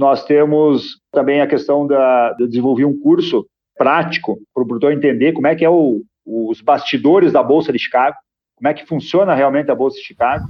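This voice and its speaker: With a normal speaking voice, a man talks fairly high in pitch, showing ordinary pitch variation. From Rio Grande do Sul, Brazil. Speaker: grain broker and agribusiness consultant. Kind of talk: podcast interview.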